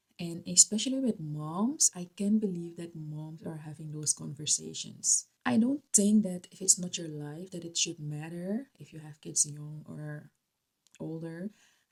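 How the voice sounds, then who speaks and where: A woman with a Dutch accent talks at a fairly slow pace in a fairly low pitch, somewhat breathy. Her tone is dark and mellow, with ordinary pitch variation. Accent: non-native English, Dutch. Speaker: YouTuber. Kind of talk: vlog commentary. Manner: hesitant, with fillers.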